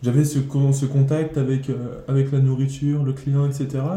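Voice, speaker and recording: A man's somewhat breathy, dark, mellow voice at a medium pitch and a fairly slow pace, with audible room echo. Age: 20s. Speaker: cook. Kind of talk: interview. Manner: halting.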